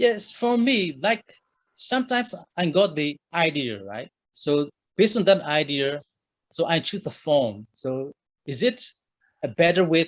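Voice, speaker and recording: A man with a Burmese accent speaks in a high voice, his pitch swinging very widely, with long, frequent pauses. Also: fairly slow pace. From Myanmar. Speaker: writer. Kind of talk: interview. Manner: halting.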